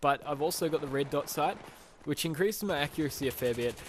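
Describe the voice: The delivery moves at a moderate pace. Pitch varies an ordinary amount. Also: man.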